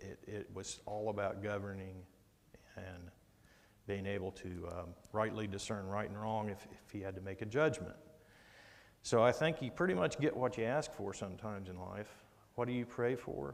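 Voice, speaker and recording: A man's plain, everyday voice, fairly low in pitch, with ordinary pitch variation and big swings in loudness. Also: moderate pace. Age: 60s. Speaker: Bible study teacher. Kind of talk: Bible study lesson. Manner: conversational.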